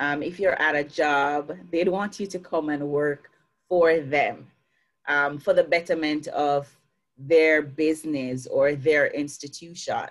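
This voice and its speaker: The speaker talks very slowly with a Jamaican accent. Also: woman, very deep, low pitch for a woman. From Jamaica, Clarendon parish. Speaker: success coach. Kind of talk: interview. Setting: video call. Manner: lively.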